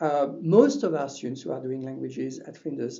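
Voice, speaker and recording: In a French accent, a man speaks at a fairly high pitch with audible room echo. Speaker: university language lecturer. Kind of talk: webinar presentation. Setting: online webinar. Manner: hesitant with many fillers.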